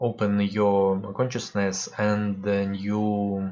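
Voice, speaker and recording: A man's fairly low-pitched voice with a Russian accent. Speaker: spiritual practitioner. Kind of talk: online talk. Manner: halting.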